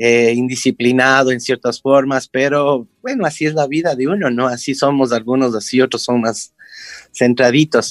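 With a plain, everyday voice, a man speaks at a medium pitch and a fairly slow pace, his intonation fairly even and the sound dry and close with no echo. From Ecuador, Quito. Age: 50s. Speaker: clown and teacher. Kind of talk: interview.

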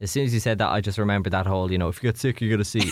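On a very clean recording with a silent background, a man with an Irish accent speaks at a fairly low pitch with ordinary pitch variation. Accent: Irish (Louth). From Ireland, Drogheda (County Louth). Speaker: radio DJ. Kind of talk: casual chat. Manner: animated.

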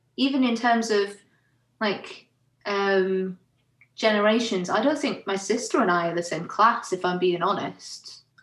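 With ordinary pitch variation, a woman speaks in a plain, everyday voice, fairly high in pitch, at a fairly slow pace. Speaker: theatre and arts worker. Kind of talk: casual chat.

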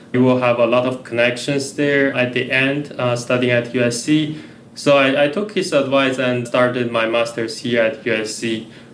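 With a Chinese accent, a man talks at a medium pitch and a fairly slow pace, with hardly any pauses and fairly even intonation. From China. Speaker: researcher and lecturer. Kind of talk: casual chat.

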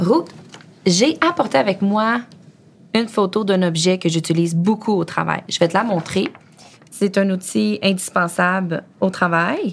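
With long, frequent pauses, a woman speaks in a medium pitch with ordinary pitch variation and very even loudness. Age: 30s. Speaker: project manager in excavation. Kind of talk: casual interview conversation.

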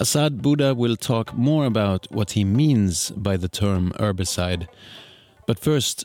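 Music plays in the background as a man with a fairly low pitch talks at a moderate pace with ordinary pitch variation. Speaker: podcast host and editor. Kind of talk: scripted narration.

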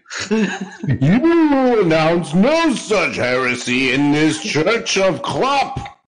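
A man's put-on character voice, high in pitch, very slow, with very wide pitch swings. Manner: thundering, commanding, pompous.

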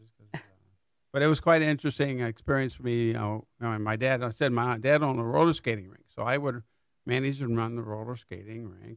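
Speaking very fast, a man with an American accent has a medium pitch and ordinary pitch variation. His loudness swings widely. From US Midwest (southwest Michigan). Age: 70s. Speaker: village manager. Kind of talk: interview.

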